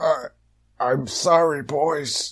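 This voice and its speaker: A man's raspy, put-on character voice, fairly high in pitch. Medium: audio drama. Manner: heroic, bombastic.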